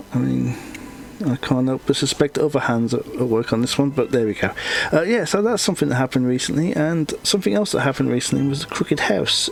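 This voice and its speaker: Lively intonation marks a man's speech at a fairly quick pace. There is noticeable background noise behind him. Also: medium pitch for a man. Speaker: comic artist and YouTuber. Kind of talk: casual chat. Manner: halting, many fillers.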